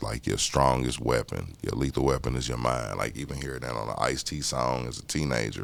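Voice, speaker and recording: Using vocal fry, a man speaks at a moderate pace with an American accent. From Indianapolis, Indiana. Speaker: artist. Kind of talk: interview. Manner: casual, conversational.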